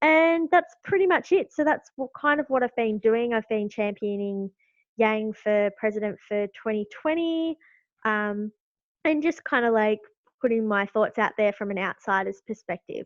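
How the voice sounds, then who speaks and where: Lively in intonation, a woman with an Australian accent and fairly high pitch speaks at a moderate pace. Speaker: YouTuber, political supporter. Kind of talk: podcast interview.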